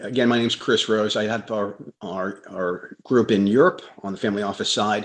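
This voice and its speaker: In a quiet background, a man with an unremarkable speaking voice speaks at a moderate pace, his fairly low pitch held in fairly even intonation. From United States. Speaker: lawyer. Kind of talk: panel self-introduction.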